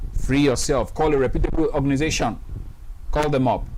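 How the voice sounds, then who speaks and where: A man talks at a moderate pace with very wide swings in pitch. There is audible echo from the room. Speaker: webinar host and anti-abuse campaigner. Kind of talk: testimony. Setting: studio. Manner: loud; animated.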